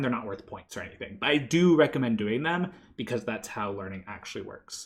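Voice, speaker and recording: A man rushes at a very fast pace with vocal fry and very wide pitch swings over a quiet background. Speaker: university instructor. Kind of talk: pre-recorded lecture. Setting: pre-recorded online video. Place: home room.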